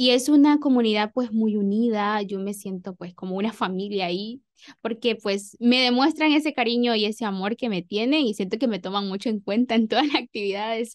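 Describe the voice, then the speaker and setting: A woman talks at a fairly quick pace with hardly any pauses, her pitch fairly high. Her pitch varies in an ordinary way, and the background is quiet. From Honduras, El Progreso, Yoro; Honduras. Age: 20s. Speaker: teacher. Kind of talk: radio interview. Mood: warm, calm. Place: studio. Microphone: studio mic.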